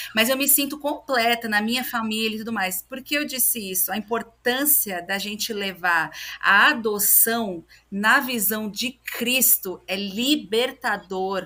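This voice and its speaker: In a normal speaking voice, a woman talks at a fairly slow pace with a fairly high pitch and ordinary pitch variation. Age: 30s. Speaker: podcast guest, adoptee and adoptive mother. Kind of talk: testimony in casual interview chat.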